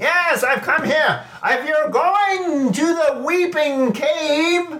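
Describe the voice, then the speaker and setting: A man's put-on character voice at an extremely high pitch and a very slow pace. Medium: actual play. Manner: cheerful, rambling, loud.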